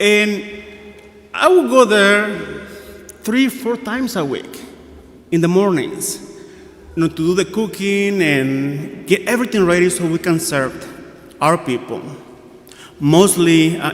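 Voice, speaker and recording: Speaking at a fairly slow pace with long, frequent pauses, a man uses a high pitch and lively intonation, with audible room echo and noticeable background noise. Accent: Guatemalan. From Guatemala. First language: Spanish. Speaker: priest. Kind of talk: sermon. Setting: church.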